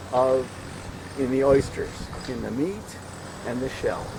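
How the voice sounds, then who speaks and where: There is noticeable background noise as a man speaks with a fairly high pitch. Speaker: aquaculture project leader giving a tour. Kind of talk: guided tour explanation. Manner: halting, many repetitions.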